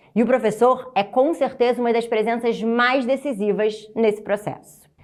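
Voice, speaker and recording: A woman's warm, fairly high voice with a Rio de Janeiro accent, at a moderate pace. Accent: carioca. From Rio de Janeiro, Brazil. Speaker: teacher trainer. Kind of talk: motivational presentation. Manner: warm, encouraging.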